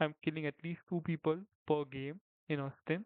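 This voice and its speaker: A man with a non-native accent and a fairly high pitch speaks at a fairly slow pace with fairly even intonation. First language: not English. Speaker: gaming commentator. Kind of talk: gameplay commentary. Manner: halting; casual. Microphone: poor audio quality, rudimentary setup.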